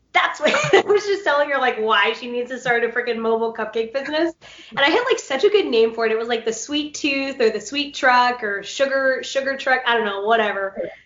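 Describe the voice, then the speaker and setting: Amid noticeable background noise, a woman with a high pitch talks at a fairly quick pace in an animated tone with lively intonation. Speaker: interviewer, podcast host. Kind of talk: casual chat. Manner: loud when excited.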